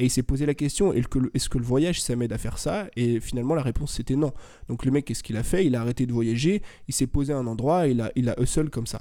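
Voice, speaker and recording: A man speaks very fast in a dark, mellow, medium-pitched voice with ordinary pitch variation. The recording is very clean, with a silent background. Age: 20s. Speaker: youtuber and podcaster. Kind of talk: interview.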